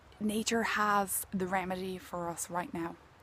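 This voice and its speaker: With an Irish accent, a woman talks in fairly even intonation. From Ireland. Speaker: healing mentor and nature intuitive. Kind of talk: contemplative talk to camera outdoors. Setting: outdoors.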